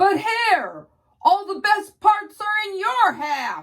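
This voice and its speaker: Using a put-on character voice, a woman talks very slowly at an extremely high pitch. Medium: read story. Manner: slow, grumbling.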